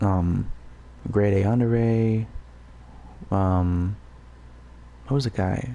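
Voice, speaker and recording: Whispering from a man. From Puerto Rico. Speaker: gaming livestreamer. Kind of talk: casual rambling livestream talk. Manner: halting, many fillers.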